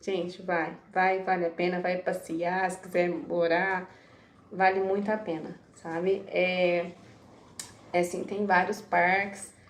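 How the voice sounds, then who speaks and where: Very slowly and in a monotone, flat intonation, a woman speaks with long, frequent pauses amid audible room echo. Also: medium pitch for a woman. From Brazil, small town. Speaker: vlogger. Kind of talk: casual vlog storytelling.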